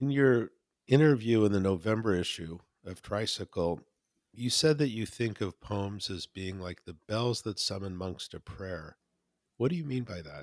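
A man speaks at a moderate pace in a plain, everyday voice with lively intonation and big swings in loudness, the sound dry and close with no echo on a very clean recording with a silent background. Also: fairly low pitch for a man. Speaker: podcast host and magazine editor. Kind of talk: interview conversation.

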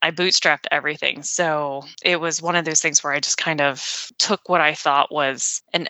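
A normal speaking voice with fairly even intonation. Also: woman. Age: 40s. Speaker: former nurse practitioner and business owner. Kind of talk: interview.

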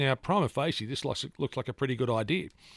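This man speaks with an Australian accent at a medium pitch and a fairly quick pace, in a very clean recording with a silent background and a dry, close sound with no echo. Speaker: radio host. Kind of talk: newspaper review on talk radio. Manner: frequent filler hesitations.

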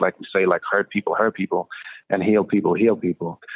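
At a very fast pace, a man talks in a fairly low pitch with monotone, flat intonation. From Sweden. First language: Swedish. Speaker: music producer and former prisoner. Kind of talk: interview.

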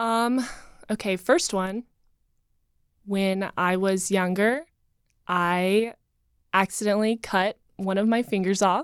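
A woman with an American accent speaks at a very slow pace, leaving long, frequent pauses, her intonation fairly even, in a dry, close recording with no echo that is very clean against a silent background. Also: medium pitch for a woman. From North Carolina, Asheville. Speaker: dating show contestant, model. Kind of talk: casual chat.

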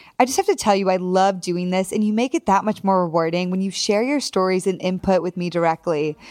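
A woman talks at a fairly quick pace. Her tone is warm and enthusiastic. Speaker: podcast host. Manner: warm, enthusiastic.

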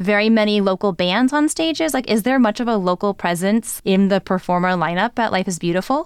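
An ordinary speaking voice from a woman, with lively intonation, comes through a very clean recording with a silent background. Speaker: podcast host. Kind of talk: casual conversational podcast chat. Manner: joking, playful.

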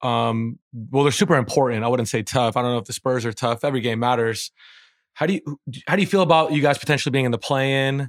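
On a very clean recording with a silent background and a dry, close sound with no echo, a man talks very fast at a medium pitch with ordinary pitch variation. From Persian immigrant family household. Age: 30s. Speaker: podcast co-host. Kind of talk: casual chat.

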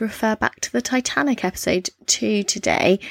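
A woman with a British accent is heard in a very clean recording against a silent background. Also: dry, close sound with no echo. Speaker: true crime podcast co-host. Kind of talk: casual chat with case storytelling.

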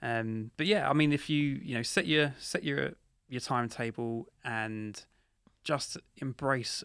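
A man's unremarkable speaking voice at a medium pitch, with a fairly slow pace and ordinary pitch variation. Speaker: minimalism author and guest. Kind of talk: interview advice.

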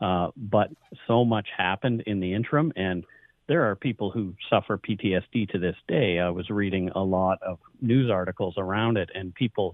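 This man has an ordinary speaking voice, pitched fairly low. He talks at a moderate pace with ordinary pitch variation. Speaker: podcast host. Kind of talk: radio interview.

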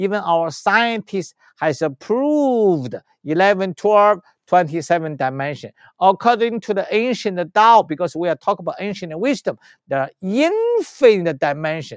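In a Chinese accent, a man speaks at a moderate pace in a high pitch, with a dry, close sound, no echo and a quiet background. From China. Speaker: spiritual healer and teacher. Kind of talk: interview. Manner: halting.

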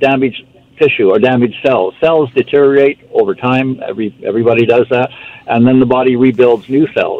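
A man with a normal speaking voice talks at a fairly quick pace and medium pitch with fairly even intonation. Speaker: supplement company representative. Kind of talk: casual chat.

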